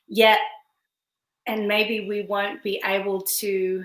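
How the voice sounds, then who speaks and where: A woman's monotone, flat delivery in an Australian accent. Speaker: author and women's spiritual coach. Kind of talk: video interview.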